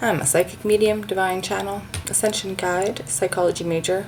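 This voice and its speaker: Through noticeable background noise, a woman speaks at a medium pitch with ordinary pitch variation. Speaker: psychic tarot reader. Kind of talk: tarot reading to camera. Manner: hesitant, many fillers.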